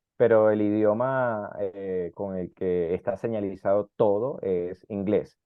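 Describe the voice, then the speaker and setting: Speaking very slowly yet with hardly any pauses, a man uses a fairly low pitch and fairly even intonation. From South America. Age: 30s. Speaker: immigrant interviewee. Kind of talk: interview.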